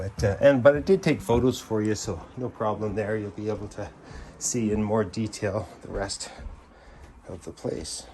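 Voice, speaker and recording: Speaking with a Canadian accent, a man uses a fairly low, somewhat breathy voice at a moderate pace. His pitch varies in an ordinary way while his loudness swings a lot. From British Columbia, Canada. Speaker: realtor. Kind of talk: property walkthrough tour. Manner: casual, filler-heavy.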